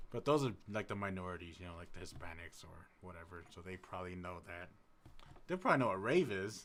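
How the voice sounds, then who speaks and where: A man speaks with an American accent. His voice is soft-spoken and very deep and low. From US Midwest, Madison, Wisconsin. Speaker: music producer streamer. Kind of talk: casual live stream chat. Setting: live stream. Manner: quiet, soft-spoken; halting.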